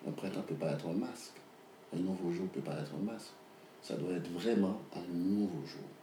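Amid audible room echo and noticeable background noise, a man with a very deep, low voice talks at a moderate pace with long, frequent pauses and ordinary pitch variation. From Haiti, Port-au-Prince. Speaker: novelist. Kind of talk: interview. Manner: halting, with many repetitions and fillers.

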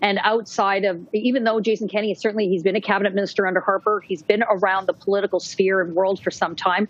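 A very fast woman's voice with a Canadian accent, medium in pitch, monotone and flat, with hardly any pauses. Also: very even loudness. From western Canada. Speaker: political journalist. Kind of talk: panel discussion.

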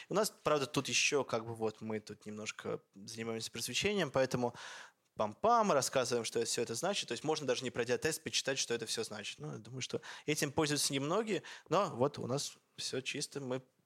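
A man speaks at a medium pitch and a fairly quick pace. His tone is animated, with lively intonation. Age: 20s. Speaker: chief editor of an online education project, lecturer. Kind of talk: lecture.

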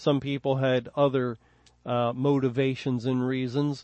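Speaking very slowly, the man has an American accent. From Philadelphia, US. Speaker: Bible teacher. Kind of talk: Bible study lecture.

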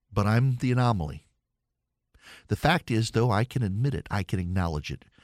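A man speaks at a fairly quick pace with a Southern US accent and lively intonation. The sound is dry and close, with no echo. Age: 40s. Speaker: political talk radio host. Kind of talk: call-in talk radio monologue.

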